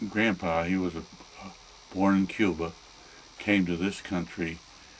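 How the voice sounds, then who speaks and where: A man with an American accent speaks fairly slowly in a very deep, low voice with fairly even intonation. Noticeable background noise runs underneath. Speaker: grandfather interviewed by family. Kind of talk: family oral history interview.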